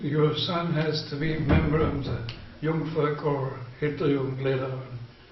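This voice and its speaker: A man with a fairly high pitch speaks at a moderate pace in a monotone, flat intonation, with audible room echo and noticeable background noise. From Germany, Erfurt, Thuringia. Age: 80s+. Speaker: elderly witness of Nazi era. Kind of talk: interview. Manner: halting.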